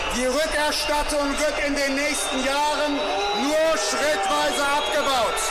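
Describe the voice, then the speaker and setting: A man speaks at a very slow pace. Loud background noise is heard throughout. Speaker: politician addressing protesters. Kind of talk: public speech. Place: street.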